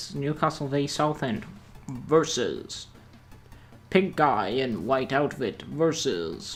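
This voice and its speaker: Background music accompanies this man. His voice is fairly high-pitched. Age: young. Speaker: gameplay YouTuber. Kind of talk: casual gameplay commentary.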